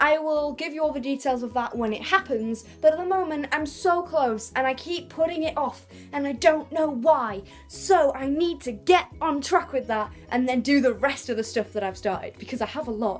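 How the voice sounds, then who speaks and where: With an English accent, a woman speaks at a high pitch and a moderate pace, her intonation lively. She hardly pauses, and music plays in the background. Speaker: vlogger. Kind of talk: casual vlog monologue. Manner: loud; chatty, animated.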